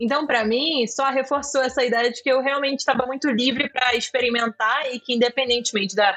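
This woman talks at a fairly quick pace, her high pitch showing ordinary variation. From Georgia, raised in Rio de Janeiro from childhood. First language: Georgian (speaking Portuguese). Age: 20s. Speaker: tech startup executive. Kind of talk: interview.

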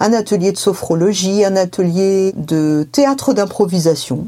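A woman talks at a medium pitch. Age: 50s. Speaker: family caregiver. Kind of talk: testimony.

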